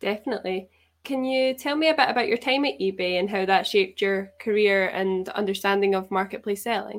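A woman's normal speaking voice at a medium pitch, with ordinary pitch variation and a fairly quick pace. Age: 20s. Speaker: podcast host. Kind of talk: interview; scripted narration.

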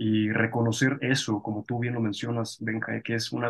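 A man's somewhat breathy voice in a flat monotone. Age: 30s. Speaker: podcast host. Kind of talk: interview conversation.

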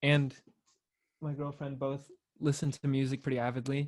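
Speaking at a moderate pace with a Californian accent, a man uses a fairly high-pitched voice. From California, Torrance. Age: 20s. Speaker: independent musician. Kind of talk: casual chat.

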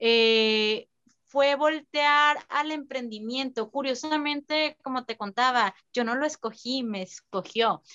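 Here a woman speaks at a high pitch with ordinary pitch variation. Her pace is very slow. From San Luis Río Colorado, Sonora, Mexico. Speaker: fashion designer. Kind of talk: interview.

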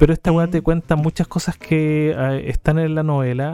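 Recorded with a dry, close sound and no echo, a man with a plain, everyday voice speaks at a fairly high pitch with fairly even intonation. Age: 30s. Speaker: podcast co-host. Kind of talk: casual chat.

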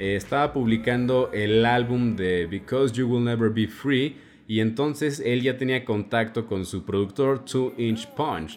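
He talks at a fairly slow pace with ordinary pitch variation. This man has an unremarkable speaking voice at a medium pitch. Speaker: radio host. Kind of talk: music show presenting.

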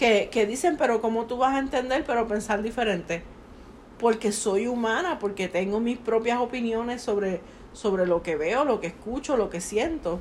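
A woman speaks with a Puerto Rican accent at a fairly high pitch. Her pace is moderate and her pitch variation ordinary. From Puerto Rico. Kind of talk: casual chat.

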